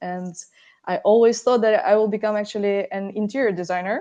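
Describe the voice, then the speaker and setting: Against a quiet background, a woman with a Russian accent speaks in a dark, mellow tone. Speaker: architect. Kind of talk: podcast interview. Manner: halting, many fillers.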